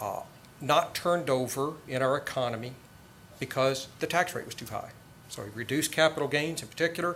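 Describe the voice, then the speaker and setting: With ordinary pitch variation and a fairly quick pace, this is an unremarkable speaking voice. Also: man. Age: 50s. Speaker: debater, tax lawyer. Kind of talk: formal debate speech. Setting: college debate with audience.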